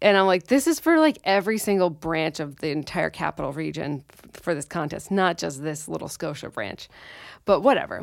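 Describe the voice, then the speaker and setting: The speaker moves at a fairly quick pace with lively intonation and vocal fry. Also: woman, fairly low pitch for a woman. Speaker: podcast co-host, real estate business owner. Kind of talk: casual chat.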